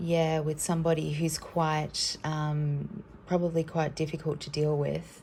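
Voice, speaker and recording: A woman speaks with a very deep, low pitch and a somewhat breathy voice. Her intonation is monotone and flat, with hardly any pauses. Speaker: tarot card reader. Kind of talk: card reading for viewers. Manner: hesitant, many fillers; casual.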